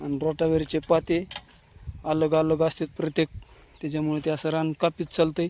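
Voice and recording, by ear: Pitched fairly high, a man with a slightly mellow tone and little pitch movement speaks at a moderate pace.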